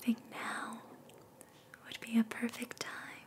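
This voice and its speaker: A woman whispers very slowly, with noticeable background noise behind her. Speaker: ASMR reiki practitioner and tarot reader. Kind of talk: ASMR reiki session, tarot reading and guided meditation. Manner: soft-spoken, slow, calming.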